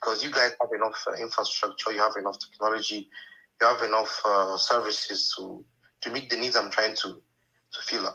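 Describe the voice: A man with a fairly low pitch talks at a moderate pace in a bright, sharp tone with a slightly husky edge and fairly even intonation.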